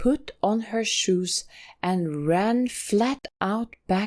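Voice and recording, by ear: Reading aloud in a natural voice, the speaker is heard over a quiet background.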